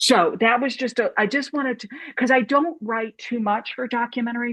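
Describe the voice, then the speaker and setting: A woman's plain, everyday voice, fairly high in pitch with ordinary variation, at a moderate pace, in a dry, close sound with no echo. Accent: American. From US Midwest, St. Louis. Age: 60s. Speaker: documentary filmmaker and film professor. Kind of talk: panel discussion.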